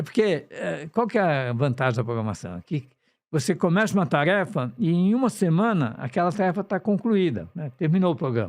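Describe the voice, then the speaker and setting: The recording is very clean with a silent background. A man speaks with a high pitch and very wide pitch swings. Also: moderate pace. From São Paulo, Brazil (north zone). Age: 70s. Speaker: software entrepreneur. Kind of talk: interview.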